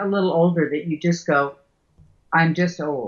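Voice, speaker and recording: Somewhat breathy, this woman speaks at a moderate pace. Her pitch is fairly low. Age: 70s. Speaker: writer and teacher. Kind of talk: interview chat.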